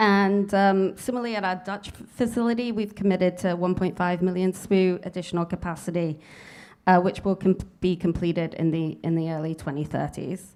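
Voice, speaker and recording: A woman talks at a fairly quick pace with a medium pitch and fairly even intonation. The recording is very clean, with a silent background. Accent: British. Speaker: nuclear fuel industry executive. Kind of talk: conference panel remarks. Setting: conference panel with audience.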